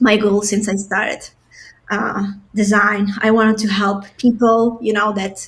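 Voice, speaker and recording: This voice is somewhat breathy, moving at a fairly slow pace with monotone, flat intonation. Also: woman, fairly high pitch for a woman. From Albania. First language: non-English. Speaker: product designer. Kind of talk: podcast interview.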